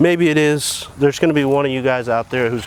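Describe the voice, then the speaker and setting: A man's fairly quick speech shows ordinary pitch variation over noticeable background noise. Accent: American. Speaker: DIY tiny house builder. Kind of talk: tutorial.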